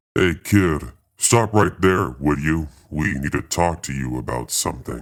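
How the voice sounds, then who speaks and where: A man's put-on character voice, very deep and low, with lively intonation at a moderate pace. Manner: demanding.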